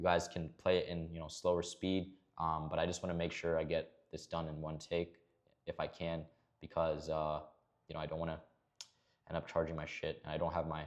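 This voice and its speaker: A man speaks with a very deep, low pitch. His pace is fairly quick, yet he leaves long, frequent pauses. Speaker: trading educator. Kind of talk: screen-share tutorial. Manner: fast; casual, lots of filler words.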